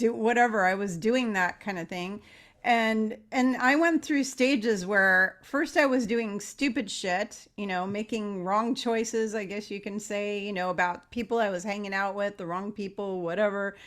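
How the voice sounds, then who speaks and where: A woman speaks in an unremarkable speaking voice. Her pitch shows ordinary variation. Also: medium pitch for a woman, moderate pace, hardly any pauses, very clean recording, silent background. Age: 50s. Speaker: podcast host. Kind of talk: casual interview.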